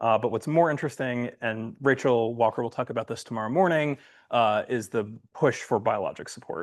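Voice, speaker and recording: A man talks fairly quickly at a medium pitch, which varies in an ordinary way. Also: quiet background. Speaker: software developer. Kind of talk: conference lightning talk. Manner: fast.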